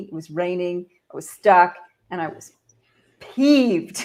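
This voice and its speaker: A woman with a Canadian accent speaks in a normal speaking voice with ordinary pitch variation, in a very clean recording with a silent background. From Canada. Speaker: leadership expert and author. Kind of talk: podcast interview.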